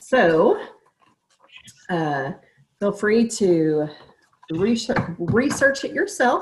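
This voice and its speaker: The speaker has a Texan accent and a somewhat breathy voice that moves through very wide pitch swings. The delivery is very slow, broken by long, frequent pauses. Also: woman. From Texas, small town east of Dallas. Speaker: registered nurse presenting a supplement product. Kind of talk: sales pitch. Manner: halting.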